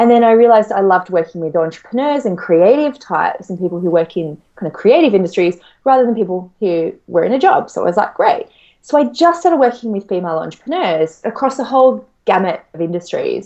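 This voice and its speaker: A woman with an Australian accent, very fast, fairly high-pitched, with very wide pitch swings. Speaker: money mindset coach. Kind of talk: interview.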